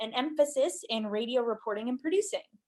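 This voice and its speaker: A woman with a Midwestern US accent talks at a fairly high pitch. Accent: General American, Midwestern. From Nebraska. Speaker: radio reporter. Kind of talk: interview.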